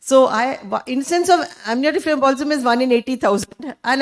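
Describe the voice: A woman talks loudly in a fairly high voice with ordinary pitch variation.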